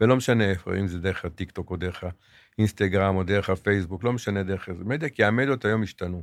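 Very clean, with a silent background, this recording has a man's fairly low voice. He talks very fast with ordinary pitch variation. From Israel, Jerusalem. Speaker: retail executive. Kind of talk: interview.

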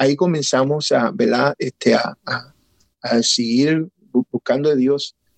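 Fairly high in pitch, a man speaks at a very slow pace with long, frequent pauses and ordinary pitch variation. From Puerto Rico, raised in Connecticut. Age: 50s. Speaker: pastor. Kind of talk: testimony.

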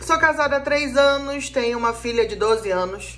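A woman speaking at a very slow pace, with audible room echo and music in the background. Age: 30s. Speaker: spiritual counselor and podcast host. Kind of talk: casual monologue.

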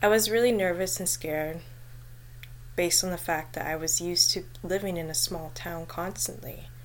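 Speaking at a moderate pace, a woman is heard with audible room echo. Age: 20s. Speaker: podcast host sharing personal mental health story. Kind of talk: personal testimony monologue.

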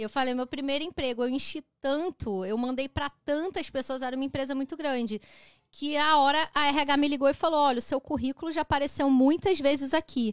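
At a fairly quick pace, a woman with a high pitch and ordinary pitch variation speaks on a very clean recording with a silent background and a dry, close sound with no echo. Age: 30s. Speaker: digital marketing expert and designer. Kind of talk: casual chat. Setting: live stream.

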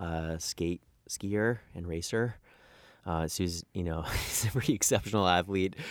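In an American accent, a man with a very deep, low pitch speaks at a fairly slow pace on a very clean recording with a silent background. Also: ordinary pitch variation. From Washington State, North Cascades. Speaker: mountain guide and guiding company founder. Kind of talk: casual interview. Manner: halting, many fillers and repetitions.

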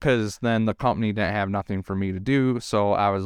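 In a very clean recording with a silent background, a man with a Detroit accent talks at a moderate pace, his fairly low voice keeping a fairly even intonation. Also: dry, close sound with no echo. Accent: Detroit-area Michigan. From Michigan, around Detroit. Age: 20s. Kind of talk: casual chat.

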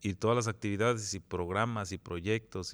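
With an unremarkable speaking voice, a man talks at a moderate pace in a fairly low pitch with fairly even intonation, on a very clean recording with a silent background. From Jantetelco, Morelos, Mexico. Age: 40s. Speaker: municipal president. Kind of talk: interview.

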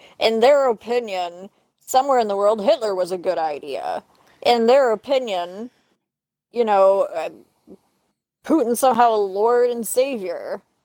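A woman's fairly high voice with a dark, mellow tone and lively intonation, fairly slow, with long, frequent pauses. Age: 30s. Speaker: podcast co-host. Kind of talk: casual chat.

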